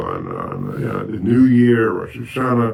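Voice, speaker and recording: A man speaks with an American accent. Noticeable background noise is present. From Bronx, New York City. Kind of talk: oral history interview answer.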